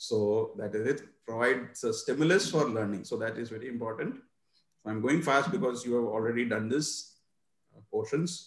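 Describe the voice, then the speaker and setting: Against a quiet background with audible room echo, a man speaks in a somewhat breathy voice with ordinary pitch variation. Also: medium pitch for a man, moderate pace. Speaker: teacher trainer. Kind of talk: webinar presentation. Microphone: video call.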